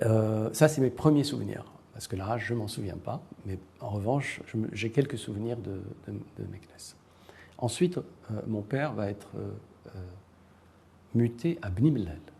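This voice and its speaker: A man at a medium pitch for a man speaks at a moderate pace with lively intonation. His loudness swings widely, and he leaves long, frequent pauses. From Morocco. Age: 60s. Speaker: writer and university professor. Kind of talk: interview. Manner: hesitant, many fillers.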